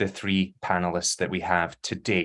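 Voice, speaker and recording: A man speaks at a moderate pace with a Glasgow accent. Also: very clean recording, silent background. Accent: Scottish (Glasgow). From Scotland, Glasgow. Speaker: panel discussant, academic. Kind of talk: event moderation.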